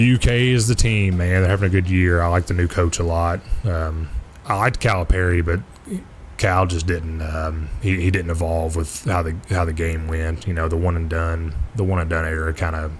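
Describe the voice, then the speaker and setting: A man with a Kentucky accent speaks in a very deep, low pitch with fairly even intonation. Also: moderate pace. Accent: Kentucky-sounding. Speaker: flight sim streamer. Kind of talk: casual chat.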